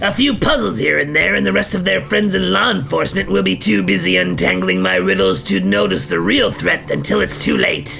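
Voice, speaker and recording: Over clear background noise, a man performs a cartoonish character voice at a fairly quick pace. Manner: smug, self-satisfied.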